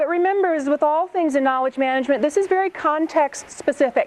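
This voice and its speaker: Noticeable background noise sits behind a woman speaking with ordinary pitch variation. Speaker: government knowledge management director. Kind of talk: conference presentation. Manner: fast.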